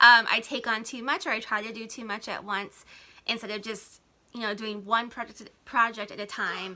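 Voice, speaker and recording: A woman with a fairly high pitch and a bright, sharp tone speaks with big swings in loudness. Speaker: blogger and small business coach. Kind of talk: live stream talk to viewers. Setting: home, Instagram live. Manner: fast.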